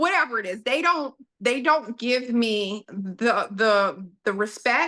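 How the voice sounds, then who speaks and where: A woman talks very slowly with a Southern US accent. Her high voice has a bright, sharp tone. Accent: Southern US drawl. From US South. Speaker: podcast guest, businesswoman. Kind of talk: casual interview chat.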